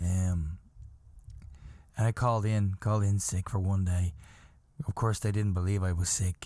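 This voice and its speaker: Very deep and low in pitch, a man's somewhat breathy voice has a dark, mellow tone, very even loudness, fairly even intonation, a moderate pace and long, frequent pauses. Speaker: podcast host. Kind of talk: casual chat.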